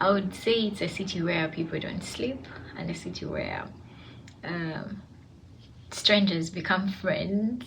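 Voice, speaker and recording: Noticeable background noise and audible room echo surround a woman's voice. She speaks at a fairly slow pace and medium pitch, with ordinary pitch variation. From Uganda, Kampala. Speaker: student. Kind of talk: personal reflection monologue. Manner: hesitant, many fillers.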